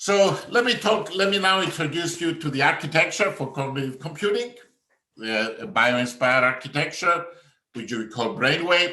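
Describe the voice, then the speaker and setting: A man with a Greek accent speaks at a fairly high pitch and a moderate pace, with lively intonation. The room echo is audible. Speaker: professor. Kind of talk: conference talk. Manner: halting.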